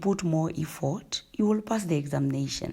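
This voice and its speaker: A woman's voice comes through with a dark, mellow tone. Her pitch varies in an ordinary way. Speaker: relationship advice vlogger. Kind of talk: casual advice monologue. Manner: hesitant, many fillers.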